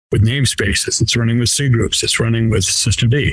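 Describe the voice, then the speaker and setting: A man's medium-pitched voice with ordinary pitch variation and a Boston accent. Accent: Boston accent, non-rhotic. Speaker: software engineer. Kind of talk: interview. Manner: casual, with fillers and repeats.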